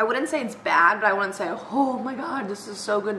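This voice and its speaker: With light background noise and audible room echo, a woman talks at a fairly quick pace with ordinary pitch variation. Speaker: vlogger. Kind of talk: casual vlog chat. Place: kitchen. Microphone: webcam.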